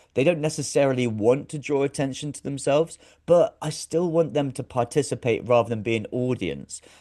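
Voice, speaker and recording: With a British accent and a dark, mellow tone, a fairly high-pitched man talks at a fairly quick pace with hardly any pauses, ordinary pitch variation, and big swings in loudness over a quiet background. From UK. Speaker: actor, director and presenter. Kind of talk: casual interview chat.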